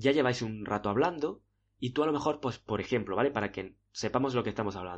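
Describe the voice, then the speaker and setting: A man uses a normal speaking voice at a medium pitch, talking at a fairly quick pace with ordinary pitch variation. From Spain. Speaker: podcast host, dating coach. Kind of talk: monologue tutorial.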